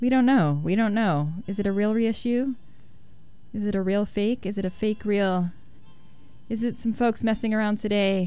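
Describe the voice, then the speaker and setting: A woman's medium-pitched voice over background music, with ordinary pitch variation, a moderate pace, long, frequent pauses, a relaxed tone and very even loudness. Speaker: radio DJ. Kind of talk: radio dj patter. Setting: radio studio. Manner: casual, conversational; relaxed, laid-back.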